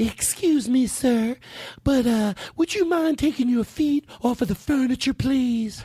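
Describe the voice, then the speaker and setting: In a put-on character voice, a female-sounding speaker uses a high pitch at a fairly slow pace. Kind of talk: polite, formal.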